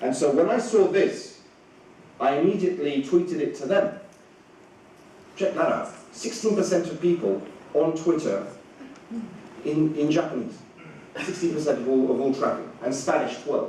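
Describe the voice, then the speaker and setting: Someone with a British accent uses lively intonation and long, frequent pauses, with audible room echo and noticeable background noise. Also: man, high pitch for a man, moderate pace. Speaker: communications director. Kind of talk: conference talk. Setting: stage with audience. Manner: hesitant, many fillers.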